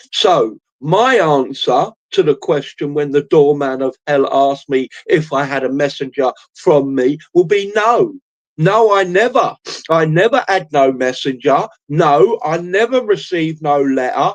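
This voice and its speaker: A man speaks in a Cockney accent with a fairly high pitch. His intonation is lively, and his pace is fairly slow. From East End of London. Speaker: streamer. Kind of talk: solo livestream monologue. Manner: hesitant, many fillers.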